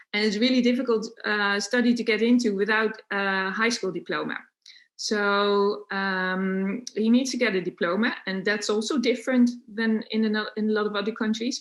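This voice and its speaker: A woman speaks in a Dutch accent. Her pitch is fairly high and her intonation fairly even. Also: moderate pace. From Netherlands. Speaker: unschooling parent and homeschooling activist. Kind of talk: podcast interview. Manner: hesitant, many fillers.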